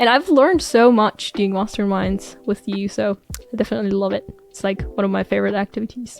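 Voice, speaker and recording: Over music in the background, a woman talks at a fairly quick pace with big swings in loudness, the sound dry and close with no echo. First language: not English. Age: 20s. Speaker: YouTuber and medical student. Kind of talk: casual interview chat.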